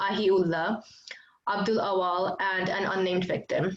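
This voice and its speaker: A woman speaks with a Bengali accent. Her voice sits at a medium pitch, and her pace is moderate. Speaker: student leader and event host. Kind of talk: event introduction. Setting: video call.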